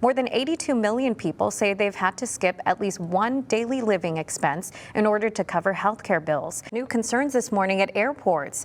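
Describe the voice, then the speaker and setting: In a very clean recording with a silent background, a woman with a plain, everyday voice speaks at a moderate pace and medium pitch, with lively intonation, very even loudness and hardly any pauses. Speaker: news anchor and reporter. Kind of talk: TV news anchoring.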